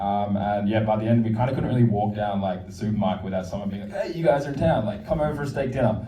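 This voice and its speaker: Speaking very fast with hardly any pauses, a man with an Australian accent uses a fairly low pitch and ordinary pitch variation, with audible room echo and noticeable background noise. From Australia, Sydney. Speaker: documentary film director. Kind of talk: post-screening Q&A. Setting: stage with audience at a film screening.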